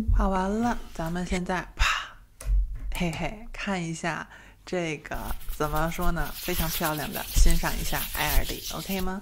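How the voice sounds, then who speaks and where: A woman's fairly low voice with vocal fry, very slow pace and fairly even intonation, over noticeable background noise. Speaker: ASMR creator. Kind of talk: makeup tutorial talking to camera. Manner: normal speaking voice, not whispered. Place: home room. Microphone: studio mic.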